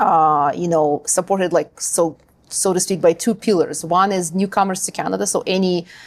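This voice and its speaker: Her voice carries a Ukrainian accent. The woman uses ordinary pitch variation. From Ukraine. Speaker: linguist and language school founder. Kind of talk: interview.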